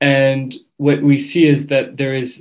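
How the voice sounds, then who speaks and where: A man speaks with a French accent at a medium pitch. His pace is very slow. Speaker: graduate student. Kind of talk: interview.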